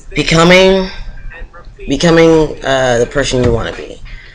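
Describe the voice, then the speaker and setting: Music sounds behind the speech. The man talks fairly slowly. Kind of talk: casual talk to camera.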